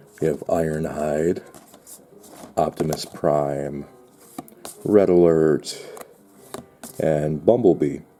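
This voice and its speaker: Amid noticeable background noise, the speech moves at a very slow pace with long, frequent pauses and fairly even intonation. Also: man. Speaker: unboxing video creator. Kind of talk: product unboxing. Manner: halting.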